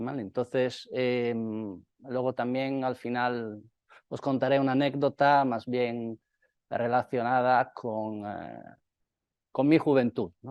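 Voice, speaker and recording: Speaking at a very slow pace with an Italian accent, a man keeps a medium pitch and fairly even intonation. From northeast Italy near Slovenia. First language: Italian (speaking Spanish). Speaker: company representative. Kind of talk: conference talk. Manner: hesitant, many fillers.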